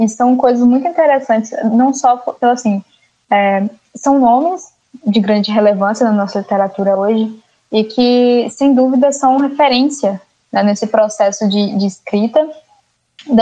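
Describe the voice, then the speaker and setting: A woman with a normal speaking voice, fairly high pitch, ordinary pitch variation and moderate pace. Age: young. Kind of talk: interview.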